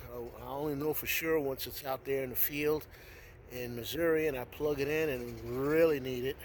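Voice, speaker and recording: A man speaks at a moderate pace with a fairly high pitch and fairly even intonation. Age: 60s. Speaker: DIY video maker. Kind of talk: tutorial. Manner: halting.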